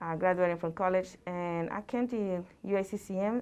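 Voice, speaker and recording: Against a quiet background, a woman speaks with a Mexican accent and fairly even intonation. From central Mexico. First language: Spanish. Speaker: college Spanish instructor. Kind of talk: presentation talk. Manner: halting, many fillers.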